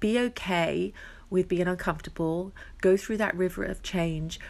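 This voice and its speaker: A woman with a warm tone and fairly low pitch speaks at a moderate pace on a very clean recording with a silent background. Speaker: relationship coach and podcaster. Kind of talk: solo podcast talk, personal reflection. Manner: warm, reflective, conversational.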